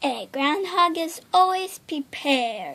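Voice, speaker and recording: A put-on character voice, high in pitch, at a fairly slow pace. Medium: read story. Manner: eager, fussy.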